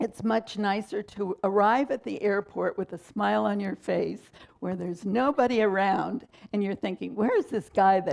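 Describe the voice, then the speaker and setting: A woman's medium-pitched voice with vocal fry and ordinary pitch variation. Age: 70s. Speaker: minister. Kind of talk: sermon.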